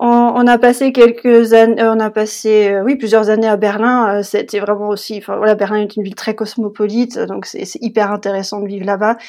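A woman with a fairly high pitch speaks at a moderate pace in a monotone, flat intonation, with hardly any pauses and big swings in loudness. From France, Le Mans. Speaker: bilingualism expert, mother. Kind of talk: interview.

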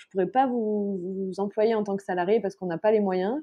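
This woman has an ordinary speaking voice with medium pitch. She talks at a fairly quick pace with ordinary pitch variation. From France. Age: 30s. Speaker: journalist and mother. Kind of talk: casual interview.

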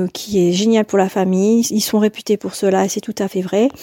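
Recorded very cleanly against a silent background with a dry, close sound and no echo, a woman speaks at a medium pitch in a dark, mellow tone with fairly even intonation. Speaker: mother giving testimony. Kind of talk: recorded testimony.

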